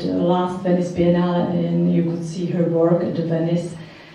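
Strong room echo surrounds a woman speaking at a moderate pace. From Czech Republic. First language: Czech. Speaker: art curator and art historian; speaker. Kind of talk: presentation. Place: hall.

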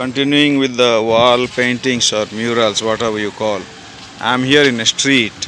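A man speaks with a monotone, flat intonation. The sound is dry with no echo, and there is noticeable background noise. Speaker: vlogger. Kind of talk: casual vlog commentary. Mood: admiring, relaxed. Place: street. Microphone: phone near.

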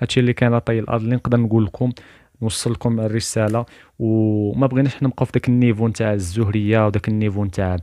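Against a quiet background, a man with a medium pitch speaks in a dark, mellow tone and fairly even intonation, the sound dry and close with no echo. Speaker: spiritual YouTuber. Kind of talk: religious talk to camera.

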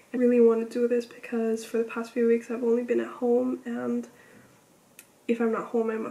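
This woman has a high pitch and keeps a moderate pace. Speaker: university student vlogger. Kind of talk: casual vlog chat. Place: home room. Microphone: phone near.

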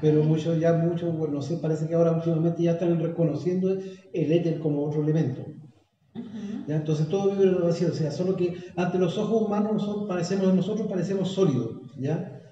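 A man's very fast, high-pitched speech in a Chilean accent, fairly even in intonation, with light background noise and audible room echo. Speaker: guest. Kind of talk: casual conversational talk on spirituality. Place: home room. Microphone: phone near.

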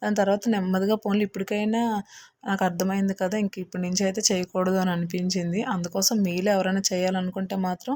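A woman at a medium pitch talks with monotone, flat intonation, a dark, mellow tone and very even loudness, in a dry, close sound with no echo. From Andhra Pradesh. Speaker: vlogger. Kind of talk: scripted narration. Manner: halting.

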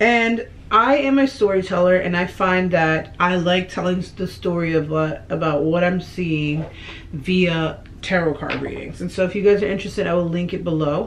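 A woman speaks in a plain, everyday voice, at a moderate pace and a fairly low pitch with ordinary variation. Light background noise is present. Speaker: beauty vlogger. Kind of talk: casual vlog chat. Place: home room. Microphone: camera far.

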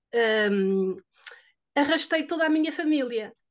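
A woman with a European Portuguese accent speaks at a high pitch with ordinary pitch variation. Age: 60s. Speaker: product testimonial giver. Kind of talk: testimony. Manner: halting.

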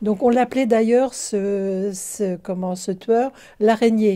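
A woman speaks very slowly with fairly even intonation. The background is quiet. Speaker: book reviewer. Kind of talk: casual book review talk. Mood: calm, thoughtful. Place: home room. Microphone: phone near.

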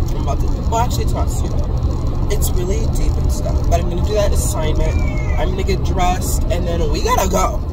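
Over loud background noise, a woman talks at a very fast pace. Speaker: vlogger. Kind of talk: casual vlog chat. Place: car. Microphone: phone near.

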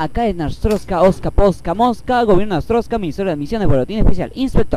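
Over noticeable background noise, a man speaks with a high pitch and a dry sound with no echo. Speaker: gaming YouTuber; gamer. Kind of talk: let's play commentary. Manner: animated. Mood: playful, joking. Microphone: headset.

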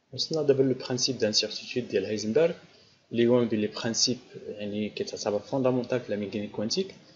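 Speaking with a Moroccan accent, a man keeps a fairly quick pace. Light background noise can be heard. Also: ordinary pitch variation. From Morocco. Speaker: physics teacher. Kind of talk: lecture. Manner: halting. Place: home room. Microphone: studio mic.

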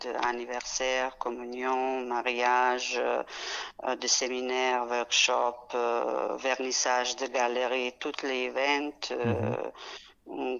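This woman has a very deep, low pitch. She speaks at a very slow pace. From Serbia (Belgrade). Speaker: caterer and restaurant entrepreneur. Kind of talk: casual interview. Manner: halting.

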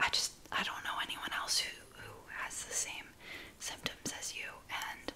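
A woman is whispering. Her voice stays at a whisper throughout. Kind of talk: roleplay talk to viewer. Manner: soft close-mic ASMR talking. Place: home room. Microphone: studio mic.

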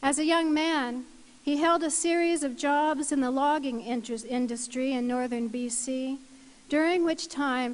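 Speaking at a very slow pace, a woman uses a high pitch with ordinary pitch variation. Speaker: ceremony presenter. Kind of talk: formal citation reading. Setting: university convocation ceremony. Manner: formal. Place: hall. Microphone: podium.

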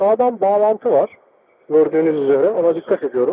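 A man speaks at a moderate pace in a high voice. The sound is dry with no echo, over light background noise. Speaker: motorcycle rider. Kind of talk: live riding commentary from inside helmet. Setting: helmet intercom recording while riding. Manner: casual. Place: motorbike. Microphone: helmet.

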